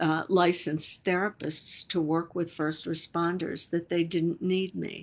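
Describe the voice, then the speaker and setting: This woman has a fairly low pitch. Her pitch variation is ordinary. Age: 70s. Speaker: author and scientist, psychologist. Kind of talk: interview conversation. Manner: halting, with fillers.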